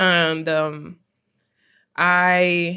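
Recorded very cleanly against a silent background, a woman speaks with a fairly low pitch and a bright, sharp tone. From Trinidad and Tobago (born in US, raised partly in Trinidad). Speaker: musician, rapper. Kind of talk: interview.

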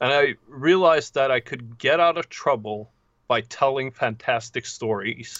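Speaking with a Norwegian accent, a man keeps a fairly slow pace and ordinary pitch variation. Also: medium pitch for a man. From southern Norway. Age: 30s. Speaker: novelist. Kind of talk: casual interview.

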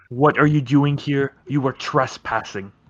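In a put-on character voice, a man talks with a fairly high pitch. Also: moderate pace, fairly even intonation. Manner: challenging, accusing.

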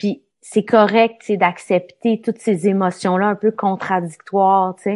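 A woman with a Quebec accent talks very slowly in a monotone, flat delivery at medium pitch. She hardly pauses, and the background is quiet. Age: 40s. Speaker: documentary host. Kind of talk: interview. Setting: video call.

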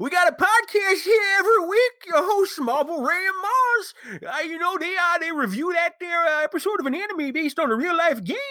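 An extremely high-pitched, put-on character voice. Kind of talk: folksy rural.

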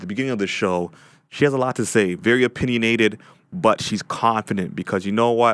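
On a very clean recording with a silent background, a man with a fairly low pitch speaks very fast, using ordinary pitch variation. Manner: halting.

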